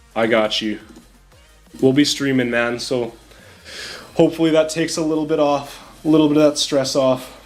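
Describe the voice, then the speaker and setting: Over background music, a man talks at a fairly quick pace. His pitch is fairly high and his intonation fairly even. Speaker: game streamer. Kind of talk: live stream commentary. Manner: loud.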